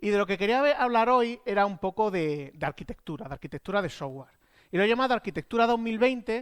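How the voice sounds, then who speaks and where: The speaker has an Andalusian accent. The pace is fairly quick. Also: man. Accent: Granada Andalusian. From Spain, Andalusia (Granada). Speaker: software architect at a tech consultancy. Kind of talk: conference talk. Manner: casual, animated.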